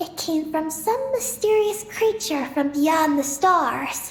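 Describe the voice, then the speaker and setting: A high-pitched, put-on character voice speaks at a fairly slow pace. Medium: video game. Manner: calm, even, matter-of-fact.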